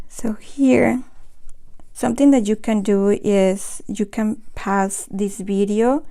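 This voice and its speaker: A woman with a Spanish accent speaks at a very slow pace in a dark, mellow tone. Her pitch is fairly high, with ordinary pitch variation. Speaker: watercolor art teacher. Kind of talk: live painting tutorial. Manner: halting, with false starts.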